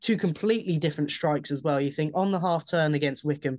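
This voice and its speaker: Fairly high in pitch, a man speaks in a normal speaking voice with fairly even intonation. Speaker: football fan, former club media assistant. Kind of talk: casual interview.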